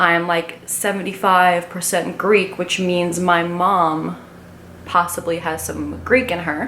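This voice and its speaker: A woman's fairly low voice at a fairly slow pace, with audible room echo and noticeable background noise. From Long Island, New York. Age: 20s. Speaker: vlogger. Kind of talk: casual get-to-know-me vlog monologue. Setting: talking to a camera alone.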